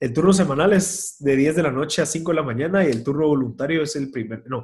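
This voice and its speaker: At a fairly quick pace, the voice sounds somewhat breathy. Its pitch varies in an ordinary way. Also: man. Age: 20s. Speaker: volunteer firefighter and entrepreneur. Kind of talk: casual interview conversation. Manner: halting, many fillers and repeated words.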